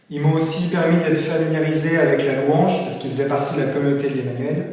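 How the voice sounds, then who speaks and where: There is audible room echo and noticeable background noise as a man speaks in a fairly high, monotone, flat voice. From Brittany, France. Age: 20s. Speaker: seminarian. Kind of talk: testimony. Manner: halting, with fillers.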